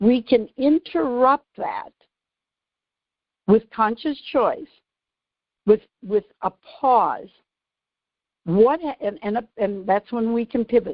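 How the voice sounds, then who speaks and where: A woman's fairly high voice with ordinary pitch variation, at a very slow pace with long, frequent pauses. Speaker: radio show host, author and behavioral neuroscience strategist. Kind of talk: radio show explanation of her book.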